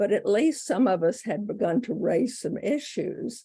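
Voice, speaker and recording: A woman with an American accent, somewhat breathy, with a dark, mellow tone and lively intonation at a fairly slow pace. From US South, North Carolina. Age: 70s. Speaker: bishop. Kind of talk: interview.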